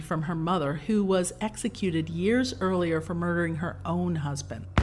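A woman with a fairly low voice speaks at a moderate pace with lively intonation while music plays in the background. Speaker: podcast co-host. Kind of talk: scripted comedic storytelling. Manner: dramatic.

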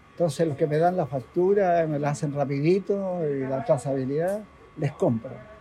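Music plays in the background behind a man with a fairly high pitch. He talks at a moderate pace with ordinary pitch variation. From Chile, Valparaíso (Playa Ancha). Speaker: fishmonger. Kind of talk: casual interview. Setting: market stall at workplace.

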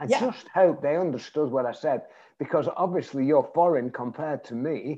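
A fairly high-pitched man with a northern English accent, moderate pace and ordinary pitch variation. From northwest England, Bury. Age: 70s. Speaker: networking skills trainer. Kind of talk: interview. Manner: humorous.

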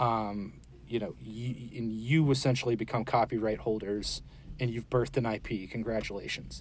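A man with an American accent, an ordinary speaking voice, medium pitch, fairly even intonation and a moderate pace. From US Southeast (Florida, Georgia). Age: 40s. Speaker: comic book illustrator. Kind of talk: casual interview.

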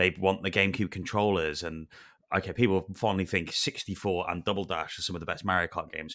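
A man speaks very fast in a Welsh accent, his pitch very deep and low. His tone is bright and sharp, and the recording is very clean with a silent background. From Wales. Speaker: podcast host. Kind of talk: casual chat.

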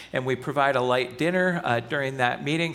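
At a moderate pace, a man talks in a fairly high voice with ordinary pitch variation and a normal speaking voice. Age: 50s. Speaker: pastor. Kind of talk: sermon. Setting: church.

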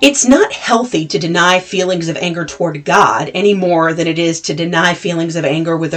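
A woman speaks at a moderate pace in a fairly low, unremarkable speaking voice. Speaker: podcast host. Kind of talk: podcast introduction and summary.

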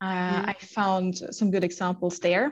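Someone with a German accent talks at a moderate pace against a quiet background. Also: woman. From Germany. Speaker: sales manager. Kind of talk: interview.

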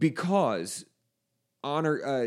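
An ordinary speaking voice, a man's, moves at a fairly slow pace with ordinary pitch variation. The recording is very clean, with a silent background. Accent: American. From South Texas. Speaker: Bible college podcast host, reverend. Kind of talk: casual Bible study discussion.

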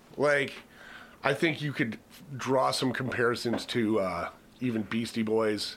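With an unremarkable speaking voice, a man talks fairly slowly at medium pitch, his pitch varying in an ordinary way while his loudness swings widely. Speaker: podcast host. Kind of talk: casual banter, music review podcast.

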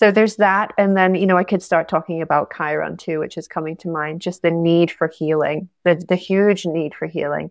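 Over a silent background in a very clean recording, a woman speaks in a fairly low pitch with fairly even intonation. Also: moderate pace, hardly any pauses. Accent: Scottish. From Scotland. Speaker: astrologer and yoga teacher. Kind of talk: interview conversation.

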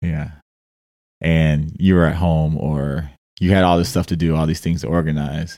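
With an American accent, a man speaks at a moderate pace in a very deep, low pitch, his intonation fairly even. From US Midwest, Detroit. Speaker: podcast co-host, professional basketball player. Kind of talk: casual chat.

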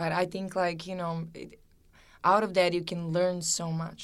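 A woman with a Serbian accent speaks in a monotone, flat intonation. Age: 20s. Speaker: fashion model. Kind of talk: interview.

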